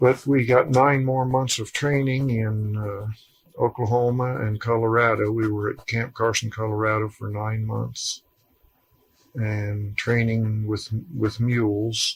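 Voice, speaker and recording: Somewhat breathy and flat, a man with an American accent speaks in a monotone at a medium pitch and a fairly slow pace. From rural Ohio. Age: 60s. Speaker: war veteran. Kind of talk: oral history interview. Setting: at his home.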